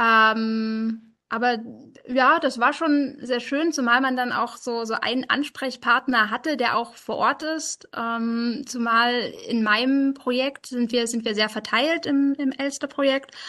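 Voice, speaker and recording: Intonation stays fairly even while the words come out at a very slow pace. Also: woman, high pitch for a woman. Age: 20s. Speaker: software developer and project lead. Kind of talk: interview. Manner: halting, many filler sounds.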